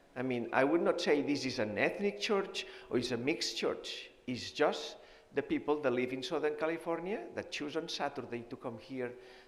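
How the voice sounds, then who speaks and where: A man's fairly high voice with a Spanish accent, at a moderate pace and with ordinary pitch variation. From Spain (Barcelona). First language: Spanish or Catalan. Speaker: nutrition professor and physician. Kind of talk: health seminar talk. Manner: halting, with fillers.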